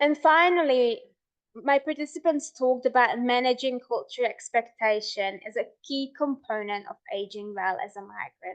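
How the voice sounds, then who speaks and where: Speaking in a Hungarian accent, a woman has a high pitch and lively intonation. Her pace is moderate, and her loudness swings widely. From Hungary. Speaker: researcher. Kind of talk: lecture.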